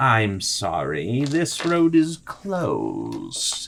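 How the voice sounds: A man puts on a character voice and drags his words out at a very slow pace.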